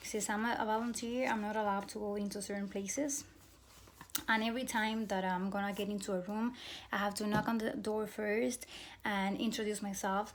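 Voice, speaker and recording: A woman with a Cuban accent talks fairly quickly in a fairly high voice, her intonation fairly even. The room echo is audible, and background noise is noticeable. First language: Spanish. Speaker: graduate program applicant. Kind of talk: admissions interview answers, self-recorded. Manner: hesitant, many fillers and restarts.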